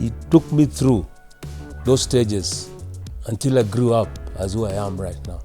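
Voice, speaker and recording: A man's fairly low voice at a fairly slow pace, with long, frequent pauses, very wide pitch swings, big swings in loudness and music in the background. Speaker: veteran radio broadcaster. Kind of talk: interview answer about his career. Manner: reserved, few words.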